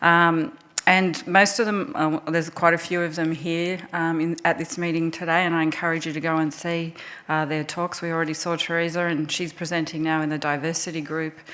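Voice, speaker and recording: Fairly quick speech from a woman with an Australian accent, fairly low pitch and monotone, flat intonation, with audible room echo. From Australia (Melbourne). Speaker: resuscitation researcher, task force chair. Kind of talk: conference presentation. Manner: hesitant, many fillers.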